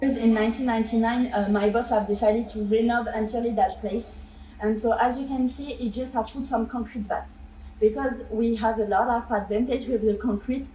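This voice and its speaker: Over noticeable background noise, a woman with a strong French accent speaks at a fairly quick pace in a fairly high, monotone, flat voice. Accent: heavy French. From France. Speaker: winery tour guide. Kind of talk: guided tour. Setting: winery cellar. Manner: fast.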